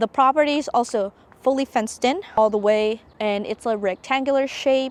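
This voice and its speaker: Dry and close with no echo, a woman's high-pitched voice moves at a moderate pace with ordinary pitch variation. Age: 20s. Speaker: homesteader vlogger. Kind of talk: casual property tour vlog.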